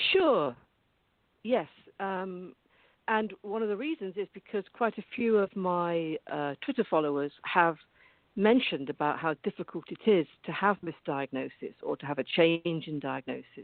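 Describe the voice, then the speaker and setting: At a moderate pace, a woman with a fairly low voice speaks with lively intonation. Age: 60s. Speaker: mental health advocate and author. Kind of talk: interview. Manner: halting.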